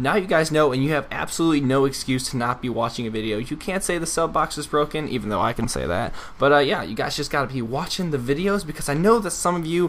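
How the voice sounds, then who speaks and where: Mumbling at a very fast pace, a man speaks with an American accent in a fairly high pitch. His intonation is lively, and there is noticeable background noise. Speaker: gaming YouTuber. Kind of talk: gameplay commentary and storytelling. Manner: casual, rambling.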